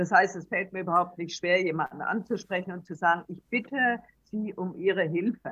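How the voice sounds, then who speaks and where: A woman talks in an unremarkable speaking voice at a moderate pace and medium pitch, with fairly even intonation and big swings in loudness. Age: 60s. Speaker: traveller and author. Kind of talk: interview. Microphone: poor recording quality.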